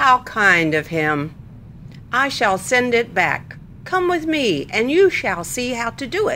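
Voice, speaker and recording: Over clear background noise, a female-sounding put-on character voice speaks at a fairly slow pace in a fairly high pitch with very wide pitch swings. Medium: read story.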